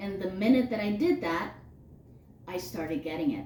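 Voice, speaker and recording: Loud speech with very wide pitch swings comes through audible room echo and noticeable background noise. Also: woman. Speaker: spirituality podcast co-host. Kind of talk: casual chat.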